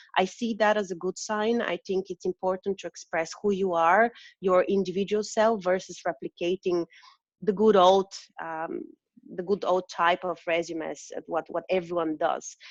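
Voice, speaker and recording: A woman with a non-native accent and medium pitch speaks at a moderate pace with fairly even intonation, the sound dry and close with no echo. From Eastern Europe. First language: not English. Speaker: recruiter. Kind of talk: interview.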